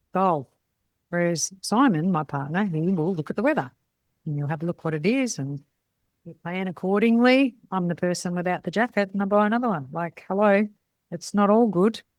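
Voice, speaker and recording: A woman at medium pitch, with lively intonation and an animated tone. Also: moderate pace. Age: 60s. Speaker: podcast host, salon business mentor. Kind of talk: casual monologue podcast.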